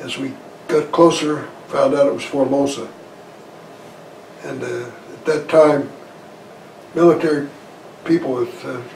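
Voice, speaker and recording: Speaking with an American accent, a man uses a fairly high pitch and fairly even intonation at a fairly slow pace, with long, frequent pauses. His loudness swings widely, and background noise is noticeable. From Idaho, USA. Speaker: war veteran; farmer. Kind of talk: interview answer.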